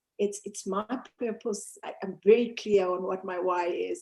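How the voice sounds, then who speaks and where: A woman speaks at a moderate pace in a dark, mellow tone with ordinary pitch variation. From Zambia and South Africa. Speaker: mountaineer and motivational speaker. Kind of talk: interview.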